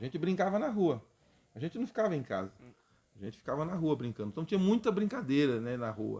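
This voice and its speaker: A man speaks at a very fast pace, his fairly high voice dark and mellow in tone. His pitch swings very widely. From interior of São Paulo state, Brazil (Presidente Prudente). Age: 50s. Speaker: history teacher. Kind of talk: casual interview chat.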